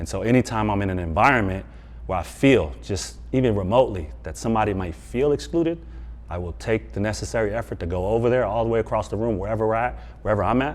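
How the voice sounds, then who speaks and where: A man with an American accent talks at a very fast pace, his fairly low pitch making very wide swings, with vocal fry throughout. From US West Coast. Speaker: former NFL player and mental performance coach. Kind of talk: interview.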